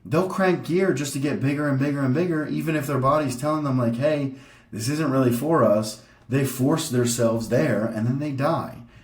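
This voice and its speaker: Audible room echo surrounds a man speaking at a moderate pace in a fairly high voice with ordinary pitch variation. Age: 30s. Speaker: bodybuilder vlogger. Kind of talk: casual educational vlog presentation. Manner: casual, filler-heavy.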